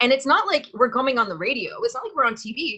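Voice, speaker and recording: A woman speaks in a raised, projected voice, high-pitched and bright and sharp in tone, with very wide pitch swings. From Scotland, raised in Canada. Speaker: podcast host and business owner. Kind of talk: interview conversation.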